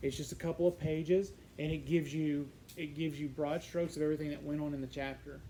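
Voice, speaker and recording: Rattling along at a very fast pace, a man with a fairly high pitch and a dark, mellow tone speaks in a monotone, flat delivery with audible room echo. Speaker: psychology teacher. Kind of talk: lecture. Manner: halting, many fillers.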